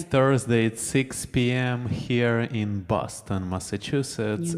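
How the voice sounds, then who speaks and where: A man speaks at a very slow pace in a medium pitch, with ordinary pitch variation and noticeable background noise. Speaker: live stream music show co-host. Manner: talkative.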